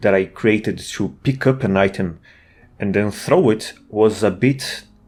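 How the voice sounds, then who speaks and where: Heard on a very clean recording with a silent background, the speaker has a non-native accent. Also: man. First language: not English. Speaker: indie game developer. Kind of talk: casual devlog narration. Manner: halting, with fillers and restarts.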